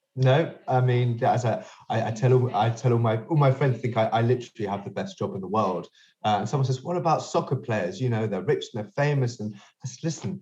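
Somewhat breathy and of medium pitch, a man's voice carries a dark, mellow tone and a London accent. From London, England. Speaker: sex toy inventor and entrepreneur. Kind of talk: interview. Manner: halting, many repetitions.

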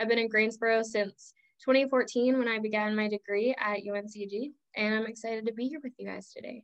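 The voice is an unremarkable speaking voice, with fairly even intonation at a moderate pace. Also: woman, fairly high pitch for a woman. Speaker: executive assistant. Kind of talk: podcast panel discussion.

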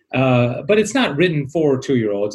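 Somewhat breathy, this man's voice sits at a fairly high pitch. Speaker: radio host, author, teacher. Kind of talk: interview, casual chat.

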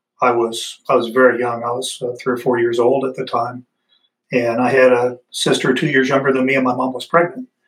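At a fairly quick pace, a man uses an ordinary speaking voice of medium pitch with fairly even intonation. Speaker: Army Ranger veteran, nonprofit executive director. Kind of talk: interview.

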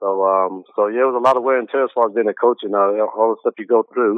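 Monotone and flat in intonation, a man talks with an American accent. His pace is very fast. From US South, Greensboro, North Carolina. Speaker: basketball coach. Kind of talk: interview.

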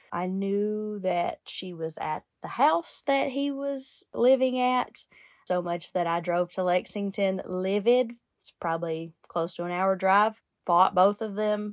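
At a fairly slow pace, a woman speaks at medium pitch with ordinary pitch variation against a quiet background. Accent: Kentucky. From Kentucky, Lincoln County. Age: 30s. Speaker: recovering addict, rehab worker. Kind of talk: testimony.

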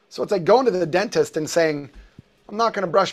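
A man talks at a very fast pace in an animated tone. His pitch varies in an ordinary way. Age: 50s. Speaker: posture therapy executive and public speaker. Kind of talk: casual interview chat.

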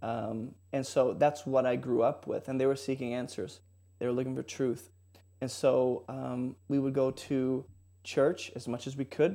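Over a quiet background, a man with an American accent talks at a medium pitch with fairly even intonation. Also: fairly slow pace. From California, San Jose / Bay Area. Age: 30s. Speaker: online Bible teacher. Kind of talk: testimony and Bible teaching in casual chat.

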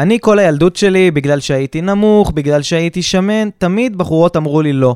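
With an animated tone and ordinary pitch variation, a man speaks at a moderate pace in a dry, close sound with no echo. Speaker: podcast co-host, businessman. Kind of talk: casual chat. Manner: halting.

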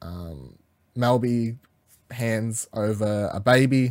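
Lively intonation marks a man's medium-pitched voice, which sounds dry and close with no echo in a very clean recording with a silent background. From Australia. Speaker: podcast host. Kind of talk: casual chat. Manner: animated.

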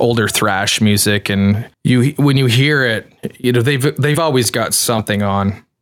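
A man with a Canadian accent and an ordinary speaking voice, at a fairly slow pace. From Canada. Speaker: pedal enclosure maker. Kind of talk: interview.

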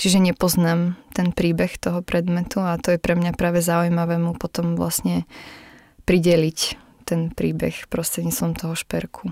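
A woman speaks at a moderate pace in a fairly low pitch with a dark, mellow tone. Her intonation is monotone and flat, and the sound is dry and close with no echo. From western Slovakia, Nitra region. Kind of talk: interview. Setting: studio.

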